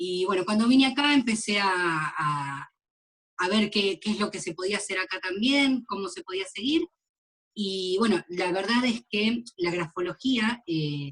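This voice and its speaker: A woman talks at a medium pitch with an Argentine accent. Her pace is very slow and her intonation lively. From Argentina, Mar del Plata. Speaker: graphologist. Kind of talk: interview.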